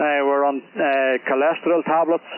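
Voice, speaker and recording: A man with a Northern Irish accent speaks at a fairly high pitch in a monotone, flat intonation. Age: 60s. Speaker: amateur radio operator. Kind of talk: casual chat. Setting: radio contact. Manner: halting, many fillers.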